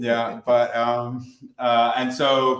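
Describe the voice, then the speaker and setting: This is a man speaking at a medium pitch. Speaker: distillery co-founder. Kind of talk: virtual tasting talk. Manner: hesitant, many fillers.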